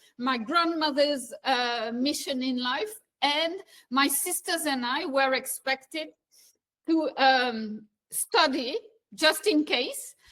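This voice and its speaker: In a French accent, a woman speaks at a very slow pace with a bright, sharp tone, a high pitch and ordinary pitch variation. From eastern France. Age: 60s. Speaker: business executive. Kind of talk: interview.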